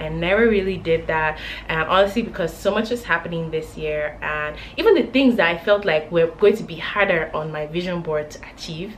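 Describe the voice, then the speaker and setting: Over noticeable background noise, a woman talks at a moderate pace with a fairly low pitch and ordinary pitch variation. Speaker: lifestyle vlogger. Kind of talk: casual chat. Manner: animated.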